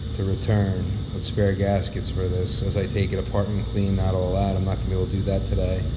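Loud background noise runs under a man's voice. He talks at a moderate pace with ordinary pitch variation. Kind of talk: work narration. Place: workshop. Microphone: phone near.

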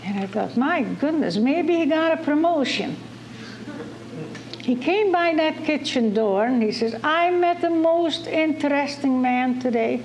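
A high-pitched woman's voice at a fairly slow pace, with lively intonation, very even loudness and noticeable background noise. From Netherlands. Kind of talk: personal testimony.

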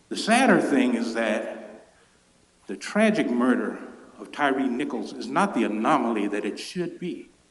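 A man with an American accent and a medium pitch speaks at a fairly slow pace, his pitch swinging very widely and his loudness shifting a great deal. Noticeable background noise and audible room echo are present. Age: 60s. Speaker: public commenter. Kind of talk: public comment at council meeting. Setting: city council chamber.

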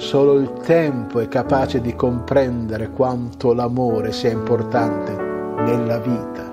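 At a fairly slow pace, a man talks while clear music sounds in the background. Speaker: stage actor. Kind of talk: story reading. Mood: warm, expressive, smiling. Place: home room.

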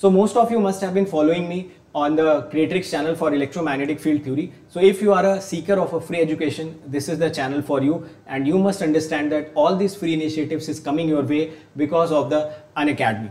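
A man talking at a very fast pace with ordinary pitch variation, in a room with audible echo. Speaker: online exam teacher. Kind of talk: promotional intro to a lecture. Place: studio.

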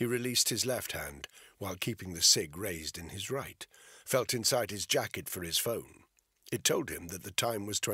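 Over a quiet background, the speaker does a plain reading aloud.

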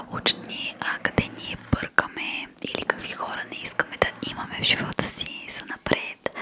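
A woman whispers at a fairly slow pace. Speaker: ASMR creator. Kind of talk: soft-spoken motivational ASMR talk. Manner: soft, close-mic ASMR murmur. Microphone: studio mic.

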